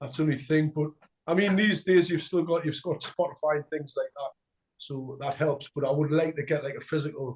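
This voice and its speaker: A somewhat breathy, fairly high male voice in a Geordie accent, fairly quick, with fairly even intonation and a dry, close sound with no echo. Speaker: punk band frontman. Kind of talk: interview.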